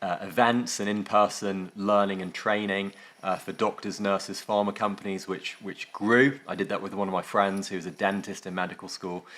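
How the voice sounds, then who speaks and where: In a very clean recording with a silent background, a man with an English accent speaks at a moderate pace and a fairly low pitch, in a monotone, flat intonation with hardly any pauses. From northwest England. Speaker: tech company founder and former surgeon. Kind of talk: interview. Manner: hesitant, many fillers.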